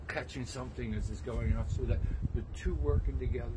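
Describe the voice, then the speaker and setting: A man speaks over noticeable background noise. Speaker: tai chi instructor. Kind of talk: tutorial. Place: garden. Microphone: camera far.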